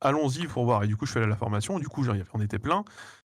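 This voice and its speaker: A man speaks at a medium pitch with lively intonation, recorded very cleanly against a silent background. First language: not French (speaking French). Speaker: YouTuber, guest. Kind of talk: casual interview chat.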